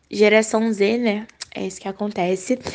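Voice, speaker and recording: Fairly even in intonation and fairly slow in pace, this is an ordinary speaking voice. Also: woman. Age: young. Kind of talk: recorded voice message. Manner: casual.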